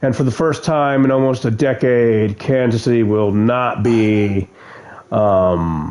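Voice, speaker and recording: A man's medium-pitched voice with ordinary pitch variation and very even loudness, over noticeable background noise. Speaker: sports commentator / streamer. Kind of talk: casual commentary. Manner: halting.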